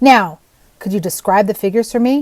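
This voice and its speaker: A gruff, put-on character voice that sounds female, at a medium pitch for a woman, goes by at a fairly quick pace. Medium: read story. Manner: gruff, curt.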